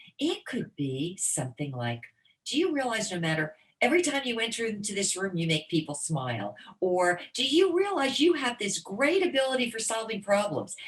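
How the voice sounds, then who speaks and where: Fairly high in pitch and with very wide pitch swings, a woman with an American accent talks at a moderate pace with vocal fry. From US Northeast, New Jersey. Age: 60s. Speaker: motivational speaker. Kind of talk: interview conversation. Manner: animated.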